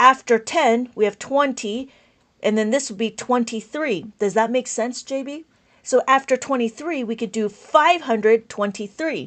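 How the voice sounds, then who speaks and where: Loud speech comes at a moderate pace with ordinary pitch variation. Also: woman, high pitch for a woman, quiet background. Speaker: abacus teacher. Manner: enthusiastic, passionate.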